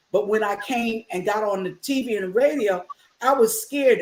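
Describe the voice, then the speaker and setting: A fairly high-pitched woman at a moderate pace, with ordinary pitch variation. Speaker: talk show host and preacher. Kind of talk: interview. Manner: animated.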